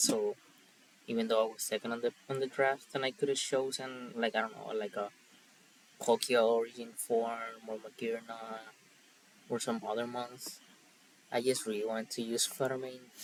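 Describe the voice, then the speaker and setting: Speaking in a Spanish accent at a moderate pace, a man uses a medium pitch and monotone, flat intonation, leaving long, frequent pauses. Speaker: Pokemon draft league player. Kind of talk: casual commentary.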